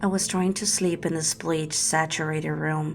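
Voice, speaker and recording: A woman's very deep, low voice with ordinary pitch variation, music playing in the background. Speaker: horror story narrator. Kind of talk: first-person horror story narration.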